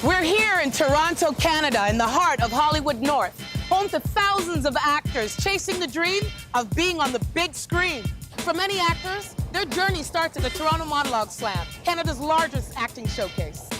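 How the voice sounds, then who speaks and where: Moderate-paced speech with music in the background. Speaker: show host / narrator. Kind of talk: TV show introduction narration.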